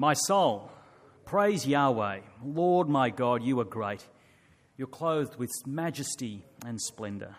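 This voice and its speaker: Speaking at a very slow pace, a man uses lively intonation and leaves long, frequent pauses. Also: medium pitch for a man. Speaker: scripture reader. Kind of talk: reading aloud. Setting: church.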